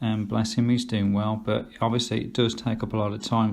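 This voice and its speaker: A man with an English Midlands accent speaks at a moderate pace with fairly even intonation. Room echo is audible. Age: 50s. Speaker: vlogger. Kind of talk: casual vlog monologue. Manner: hesitant, many fillers.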